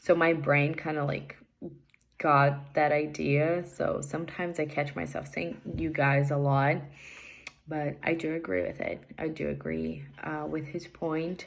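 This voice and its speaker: A woman speaks in a Portuguese accent at a fairly slow pace. Room echo is audible. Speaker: English learner. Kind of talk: recorded assignment answers. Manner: hesitant, many fillers.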